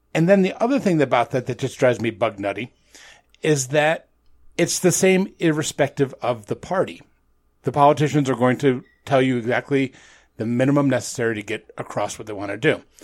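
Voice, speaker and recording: A man with an American accent and a normal speaking voice, medium in pitch, at a fairly quick pace. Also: lively intonation. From upstate New York. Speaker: podcaster. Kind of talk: casual chat. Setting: video call.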